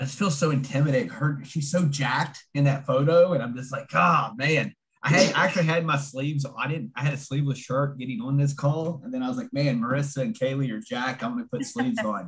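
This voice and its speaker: With a West Virginia accent, a somewhat breathy man with a fairly high pitch rattles along at a very fast pace with lively intonation and hardly any pauses. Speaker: fitness coach and nutritionist. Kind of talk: online seminar presentation. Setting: video call.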